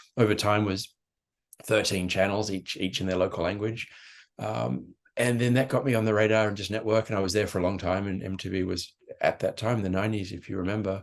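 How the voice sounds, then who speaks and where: This man speaks with an Australian accent at a fairly quick pace. His voice is fairly low with fairly even intonation, over a quiet background. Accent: Australian, unshaken after 35 years abroad. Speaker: marketing executive. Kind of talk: podcast interview.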